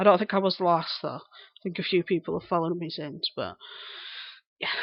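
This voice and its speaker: The speaker uses a strong Lancashire accent, a monotone with flat intonation and a fairly quick pace, with big swings in loudness. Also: woman, fairly low pitch for a woman. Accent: broad Lancashire. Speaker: live streamer. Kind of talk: casual chat. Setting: live stream. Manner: articulate.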